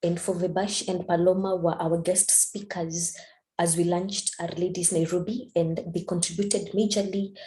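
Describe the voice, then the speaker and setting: A woman with a dark, mellow, somewhat breathy tone speaks at medium pitch and a moderate pace in a monotone, flat delivery. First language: not English. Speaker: statistics student and community organizer. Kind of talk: presentation. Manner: halting.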